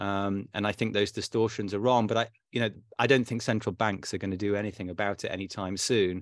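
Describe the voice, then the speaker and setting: A man speaks very fast at a fairly low pitch with fairly even intonation. The recording is very clean, with a silent background. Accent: British. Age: 50s. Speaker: fintech company founder. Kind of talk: interview. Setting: private club room.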